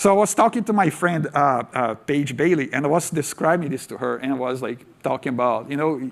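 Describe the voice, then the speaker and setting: The man's voice sits fairly high, with ordinary pitch variation. His pace is moderate. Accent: Portuguese. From Brazil. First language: Portuguese. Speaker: tech speaker. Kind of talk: conference talk.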